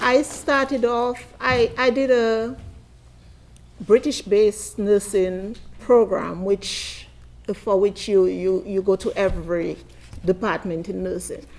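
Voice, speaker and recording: A woman with a Caribbean accent at a very slow pace, medium pitch and ordinary pitch variation. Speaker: midwife and nurse. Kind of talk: conference panel talk. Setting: conference.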